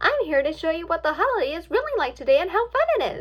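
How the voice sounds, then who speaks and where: A woman uses a squeaky, put-on character voice at an extremely high pitch. She talks at a very fast pace. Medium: read story. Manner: bubbly, whimsical.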